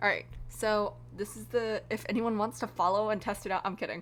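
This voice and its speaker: A woman at a moderate pace on a very clean recording with a silent background. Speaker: streamer. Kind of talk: casual live stream chat. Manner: loud; casual, hesitant with many ums.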